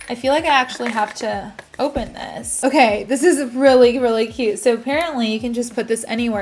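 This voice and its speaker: Over noticeable background noise, a woman speaks fairly quickly with hardly any pauses, her fairly high voice showing ordinary pitch variation. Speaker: beauty YouTuber. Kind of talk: unboxing haul video. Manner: fast; animated.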